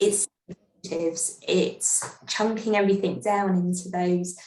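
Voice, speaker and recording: A woman's somewhat breathy, medium-pitched voice at a very slow pace, with fairly even intonation. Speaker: life and executive coach. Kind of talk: interview podcast. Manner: gentle.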